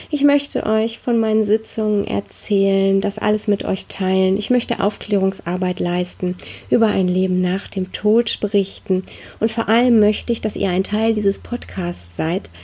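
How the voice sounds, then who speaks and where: Her dark, mellow tone holds fairly even intonation as this woman speaks at a moderate pace. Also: medium pitch for a woman. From Ruhr area, Germany. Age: 40s. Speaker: spiritual medium, podcast host. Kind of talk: personal storytelling monologue.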